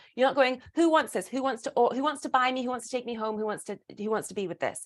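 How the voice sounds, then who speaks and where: In a British accent, the speaker talks in an animated tone at a very fast pace with ordinary pitch variation, on a very clean recording with a silent background. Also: woman, high pitch for a woman. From Britain. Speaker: burlesque performer and speaker. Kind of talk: casual interview chat.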